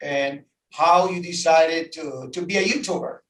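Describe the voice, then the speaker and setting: Speaking very slowly in a Dominican accent, a man with a high pitch shows ordinary pitch variation. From Dominican Republic. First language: Spanish. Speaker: tour guide. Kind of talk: casual chat. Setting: outdoors at the beach. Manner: animated.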